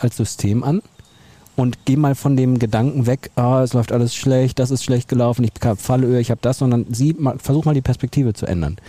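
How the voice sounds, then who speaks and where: The sound is dry and close, with no echo, as a man talks at a fairly quick pace. His medium-pitched voice is dark, mellow and somewhat breathy. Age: younger than co-host. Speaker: podcast host. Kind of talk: casual chat. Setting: outdoors.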